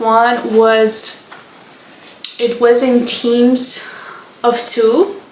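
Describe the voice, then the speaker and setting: A high-pitched woman's voice in a Romanian accent, with audible room echo and noticeable background noise. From Moldova. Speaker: book content creator. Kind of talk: casual chat.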